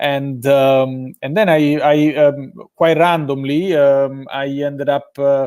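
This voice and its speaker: Speaking very slowly in an Italian accent, a man holds a fairly high pitch with fairly even intonation. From Italy, Rome. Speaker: sports education business development director. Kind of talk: live interview. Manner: hesitant, many fillers.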